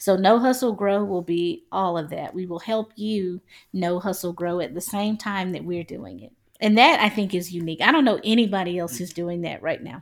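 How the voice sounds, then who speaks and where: A woman with a normal speaking voice talks in an American accent at a medium pitch and a moderate pace, her loudness swinging widely. The recording is very clean, with a silent background. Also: ordinary pitch variation. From South Carolina. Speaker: podcast co-host. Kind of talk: casual chat.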